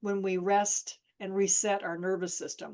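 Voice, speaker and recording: Monotone and flat in intonation, a woman talks at medium pitch. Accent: American. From Ohio, Toledo. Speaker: therapist. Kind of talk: interview conversation. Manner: fast; intense.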